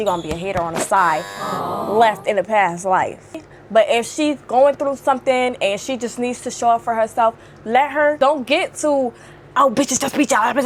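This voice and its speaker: A woman talks at a moderate pace with lively intonation. Noticeable background noise is present. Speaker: video blogger. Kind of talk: casual chat. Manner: loud; animated.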